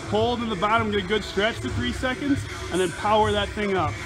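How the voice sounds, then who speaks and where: A man talks at a fairly quick pace in a raised, projected voice with ordinary pitch variation. Music plays clearly in the background. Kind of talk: tutorial commentary. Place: gym. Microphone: phone near.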